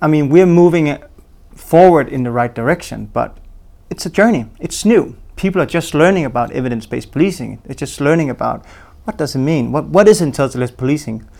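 With lively intonation and a fairly quick pace, a man speaks at a fairly high pitch in a dark, mellow tone. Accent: Danish. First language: Danish. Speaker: police intelligence program manager. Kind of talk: interview.

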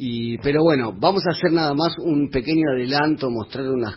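The voice is somewhat breathy, with ordinary pitch variation. The pace is moderate. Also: man. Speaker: bass player. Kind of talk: radio interview.

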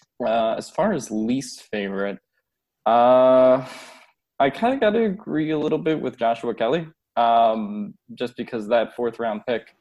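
At a fairly slow pace, a man with an American accent talks at medium pitch in an unremarkable speaking voice. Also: ordinary pitch variation. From Philadelphia / New Jersey, US. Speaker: sports writer. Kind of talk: casual chat.

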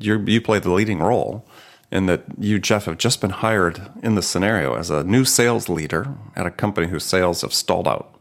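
A man with an American accent talks at a moderate pace at a fairly low pitch with ordinary pitch variation. It is a plain, everyday voice. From US Midwest. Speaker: podcast host. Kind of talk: interview.

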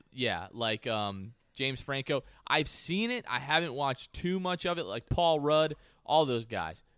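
A man with an ordinary speaking voice talks at a fairly slow pace. His pitch is fairly high, and his intonation is lively. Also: very clean recording, silent background. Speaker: podcast host. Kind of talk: casual chat.

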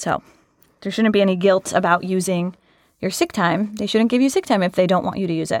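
In an ordinary speaking voice, a woman with a General American accent talks at a fairly quick pace and medium pitch, with ordinary pitch variation, on a very clean recording with a silent background. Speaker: HR professional. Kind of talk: casual interview chat, reading letters aloud. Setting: studio.

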